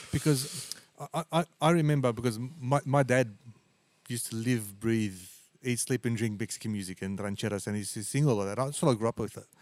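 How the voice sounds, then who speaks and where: Using a plain, everyday voice, a man talks at a medium pitch and a fairly quick pace with ordinary pitch variation. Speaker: podcast host and musician. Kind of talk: casual interview chat.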